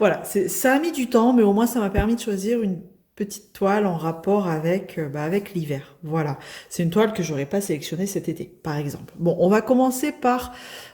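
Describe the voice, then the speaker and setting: With lively intonation, a woman speaks at a moderate pace in a somewhat breathy, dark, mellow voice of medium pitch. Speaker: crafts youtuber. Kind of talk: unboxing video. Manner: casual, hesitant with many fillers.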